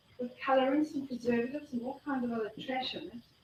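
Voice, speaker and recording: A woman speaks with a South African accent at a high pitch. Her pace is fairly quick and her intonation fairly even. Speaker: health speaker. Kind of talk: talk to a live audience. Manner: fast.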